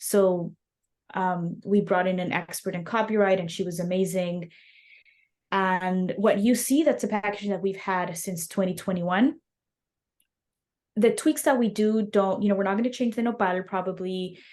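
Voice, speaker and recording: A woman with a Spanish accent speaks at a moderate pace and medium pitch with ordinary pitch variation. Long, frequent pauses punctuate her speech. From Mexico City. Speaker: snack company founder. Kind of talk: interview.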